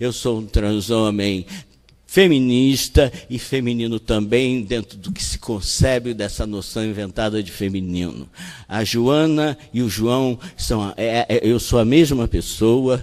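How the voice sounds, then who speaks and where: Using an ordinary speaking voice, a man talks at a fairly slow pace with a medium pitch and ordinary pitch variation. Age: 60s. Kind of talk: talk at a panel.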